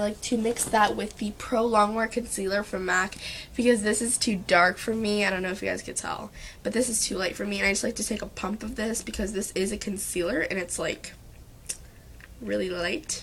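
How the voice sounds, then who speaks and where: Speech at a fairly quick pace with ordinary pitch variation, heard over noticeable background noise. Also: woman. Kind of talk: makeup tutorial talk to camera.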